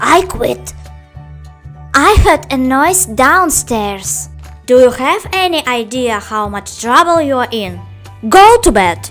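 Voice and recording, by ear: In a put-on character voice, a woman talks slowly at a high pitch with big pitch swings while faint music plays in the background. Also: fairly bright tone.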